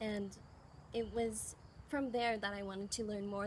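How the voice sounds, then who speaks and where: A woman with a Canadian accent sounds somewhat breathy, with fairly even intonation. Room echo is audible. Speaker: former exchange student. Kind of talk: interview.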